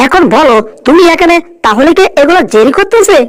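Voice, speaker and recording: A put-on character voice speaks at a moderate pace in an extremely high pitch. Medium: fan dub. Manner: blustering, loud.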